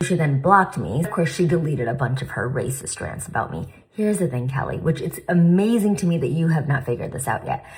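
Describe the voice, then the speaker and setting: A woman's very deep, low voice at a very fast pace, lively in intonation with hardly any pauses, over noticeable background noise. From India. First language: not English. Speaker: plastic surgeon and commentary creator. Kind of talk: reaction commentary.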